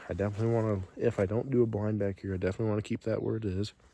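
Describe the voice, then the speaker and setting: A man talks at a fairly low pitch amid noticeable background noise. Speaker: YouTuber, hunter. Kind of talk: casual vlog walkthrough. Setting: outdoors. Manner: low energy.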